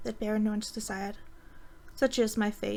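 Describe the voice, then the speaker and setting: Here a woman speaks in a Danish accent. She keeps a moderate pace. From Denmark. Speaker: amateur reader. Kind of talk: fantasy story reading. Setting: voice chat.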